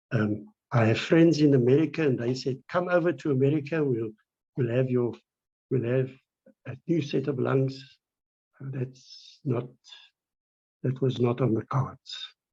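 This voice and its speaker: A man's somewhat breathy voice at medium pitch, fairly slow and fairly even in intonation, broken by long, frequent pauses. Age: 70s. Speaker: patient with lung disease. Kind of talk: interview. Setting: video call.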